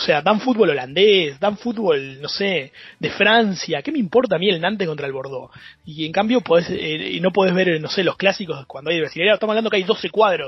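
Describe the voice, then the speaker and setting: A man speaks with a high pitch at a fairly quick pace, his intonation lively. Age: 30s. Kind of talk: casual chat.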